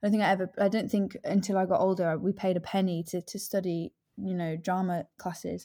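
With an East Midlands accent, a woman talks at a fairly quick pace with hardly any pauses, her medium pitch held in a monotone, flat intonation and her tone dark and mellow, on a very clean recording with a silent background. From English East Midlands (Leicestershire/Northamptonshire). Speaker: actress. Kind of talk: casual interview chat.

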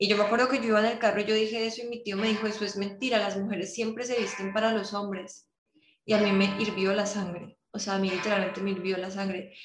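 In a room with audible echo, a woman talks at a very fast pace with monotone, flat intonation. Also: medium pitch for a woman. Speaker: podcast host. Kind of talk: casual interview chat.

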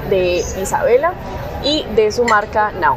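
A woman speaks with ordinary pitch variation. Audible room echo and noticeable background noise surround her voice. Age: 20s. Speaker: podcast host. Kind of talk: casual interview. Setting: outdoor café terrace.

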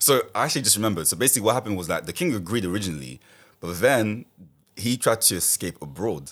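A man's fairly low, vocal-fry voice at a very fast pace, with very wide pitch swings, on a very clean recording with a silent background. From Paris, France, of Congolese (DRC) heritage. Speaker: podcast guest. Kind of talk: casual chat.

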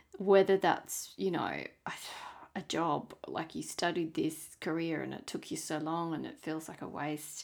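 A woman speaks in an Australian accent at a fairly slow pace. Her pitch is fairly low. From Tasmania, Australia. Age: 30s. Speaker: podcast host. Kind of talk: solo monologue.

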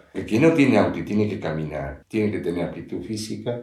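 Over audible room echo, a man with a fairly low pitch talks at a moderate pace with lively intonation. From Uruguay, Montevideo. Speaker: father of the host. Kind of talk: casual chat.

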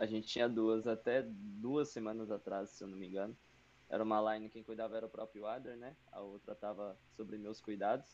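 A man's normal speaking voice, fairly low in pitch, at a moderate pace, with fairly even intonation and big swings in loudness. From São Paulo, Brazil. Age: 20s. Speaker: esports team manager and player. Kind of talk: casual chat.

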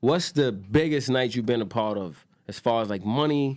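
A man with a New York accent at a moderate pace. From New York, Queens. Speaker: podcast host. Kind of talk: casual chat.

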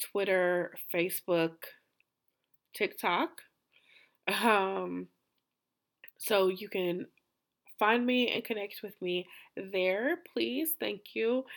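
A woman with an American accent speaks at a very slow pace and with lively intonation, leaving long, frequent pauses in a very clean recording over a silent background. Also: medium pitch for a woman. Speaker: podcast host and therapist. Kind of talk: solo podcast monologue.

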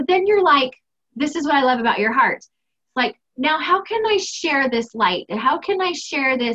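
A woman's raised, projected voice with high pitch, a bright, sharp tone, an animated, enthusiastic delivery, very wide pitch swings and an American accent. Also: moderate pace. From United States. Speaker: anxiety coach and podcast host.

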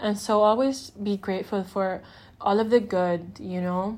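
Recorded very cleanly with a silent background, a woman speaks at a medium pitch with fairly even intonation. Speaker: solo podcast host. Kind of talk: casual monologue. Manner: loud.

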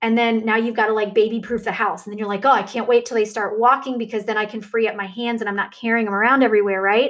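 A woman talks with a warm tone at a fairly high pitch. Her intonation stays fairly even. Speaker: podcast host and fitness coach. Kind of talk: motivational faith talk. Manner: warm, conversational.

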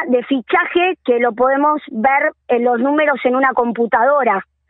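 A woman speaks at a high pitch with an Argentine accent. Her pace is very slow. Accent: Rioplatense Argentine Spanish. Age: 40s. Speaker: women's rugby coordinator. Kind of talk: interview. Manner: animated.

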